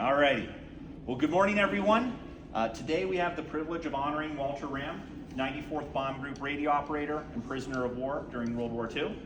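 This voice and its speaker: Very fast talking from a man at a fairly high pitch, his pitch variation ordinary, amid noticeable background noise. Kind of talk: ceremony speech.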